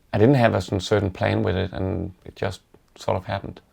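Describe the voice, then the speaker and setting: A man with a Danish accent, a fairly low, dark, mellow voice and vocal fry, on a very clean recording with a silent background. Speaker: woodworker. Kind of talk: interview. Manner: halting, many fillers.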